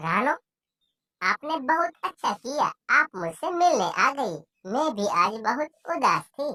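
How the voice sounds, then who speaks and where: In a cartoonish character voice, a woman speaks with a high pitch and very wide pitch swings at a fairly slow pace. The sound is dry and close, with no echo. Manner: gentle, warm.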